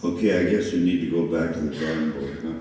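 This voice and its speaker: A man talks with a very deep, low pitch. The room echo is audible and background noise is noticeable. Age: 70s. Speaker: mayoral candidate, former mayor. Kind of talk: candidate forum answers. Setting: public forum with audience. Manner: animated.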